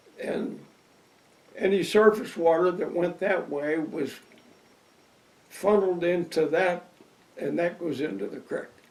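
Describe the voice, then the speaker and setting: A high-pitched man with an American accent, ordinary pitch variation, a fairly slow pace, and long, frequent pauses. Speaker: retired local resident. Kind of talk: interview.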